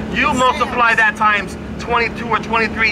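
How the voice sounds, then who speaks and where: Over noticeable background noise, a man with a high pitch uses a raised, projected voice. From Puerto Rico. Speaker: newspaper ad salesman and union member. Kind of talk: protest rally speech. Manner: halting.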